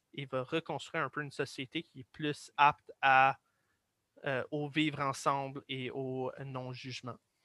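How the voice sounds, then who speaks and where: A man with an English accent, fairly high in pitch, monotone and flat, at a fairly slow pace, in a dry, close sound with no echo. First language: English (speaking French). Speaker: guest explainer. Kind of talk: casual explanatory discussion. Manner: halting.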